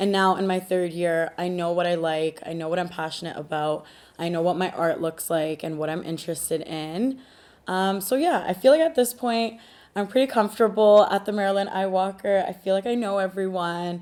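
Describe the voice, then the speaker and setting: With a Canadian accent, a woman talks at a fairly quick pace in a plain, everyday voice, her pitch medium and its variation ordinary. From Canada, Punjabi family. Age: 20s. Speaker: art student. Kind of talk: interview answers.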